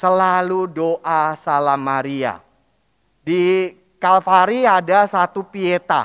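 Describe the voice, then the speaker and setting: In a Jakarta accent, a man speaks with a dry, close sound and no echo. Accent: Betawi. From Jakarta, Betawi area (Palmerah). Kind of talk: sermon. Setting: church. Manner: casual, conversational.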